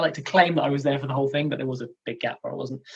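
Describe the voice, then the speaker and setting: This man's voice is somewhat breathy and fairly high in pitch, with fairly even intonation. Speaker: comedian and wrestling commentator. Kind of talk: interview answer.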